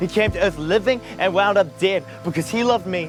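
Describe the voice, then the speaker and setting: Over music in the background, a man talks in a high-pitched voice with ordinary pitch variation. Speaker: spoken word poet. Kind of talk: spoken word poetry performance.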